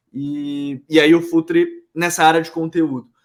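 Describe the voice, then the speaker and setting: Using lively intonation, a man speaks at a fairly high pitch. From Brazil, Pará (Belém). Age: 20s. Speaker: football content head. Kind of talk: podcast interview. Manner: casual, relaxed.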